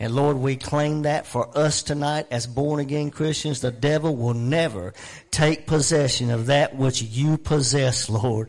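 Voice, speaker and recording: This man has an unremarkable speaking voice with fairly high pitch. He speaks at a fairly slow pace with fairly even intonation. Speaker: pastor. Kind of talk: prayer and announcements. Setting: church.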